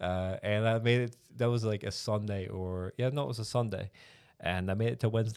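In an unremarkable speaking voice, a man talks at a fairly quick pace with a fairly low pitch and fairly even intonation. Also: very clean recording, silent background. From rural Newfoundland, Canada. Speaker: church planter candidate. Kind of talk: interview about life story.

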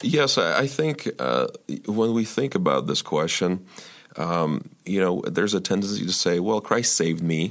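A man with an American accent, a fairly low voice with vocal fry and very wide pitch swings, at a moderate pace. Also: very even loudness. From Ukraine, emigrated to US at age twelve. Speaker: church elder. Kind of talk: podcast interview. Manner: halting, many fillers.

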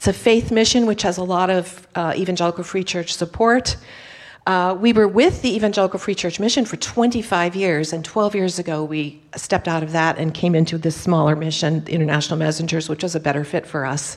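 Someone with an American accent speaks at a fairly quick pace in a normal speaking voice with ordinary pitch variation, on a very clean recording with a silent background. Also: woman, fairly low pitch for a woman. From United States. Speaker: missionary. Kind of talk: missionary report in church service. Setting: church with congregation.

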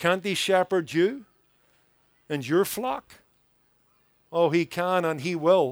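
Pausing long and often, a man with a high voice speaks at a very slow pace with ordinary pitch variation, in a dry, close sound with no echo. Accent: Northern Irish. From Northern Ireland, Belfast. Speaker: pastor. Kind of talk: sermon. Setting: church service with audience.

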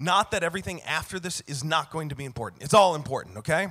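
A man's fairly high, bright, sharp voice with lively intonation, in a very clean recording with a silent background. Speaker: pastor. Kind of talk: sermon.

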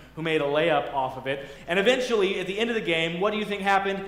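Lively intonation marks this man's very fast speech. Noticeable background noise runs underneath. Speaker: pastor. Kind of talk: sermon. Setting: church. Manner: fast talker.

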